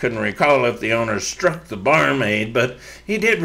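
A natural voice reading aloud

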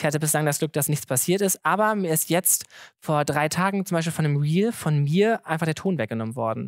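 Speaking at a fairly quick pace, a man with a fairly high voice keeps his loudness very even and his pitch moving in an ordinary way, recorded dry and close with no echo against a silent background. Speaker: comedian and social media content creator. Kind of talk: live podcast conversation. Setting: stage with live audience. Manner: fast.

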